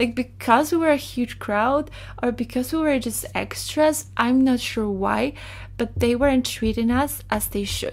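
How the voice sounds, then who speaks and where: With a Polish accent, a woman speaks at a fairly slow pace in a high pitch with ordinary pitch variation. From Poland. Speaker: digital artist, storyteller. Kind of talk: storytime monologue.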